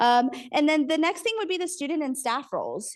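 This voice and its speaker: A woman's very fast, lively-intoned speech over a quiet background. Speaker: university program director. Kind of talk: conference presentation.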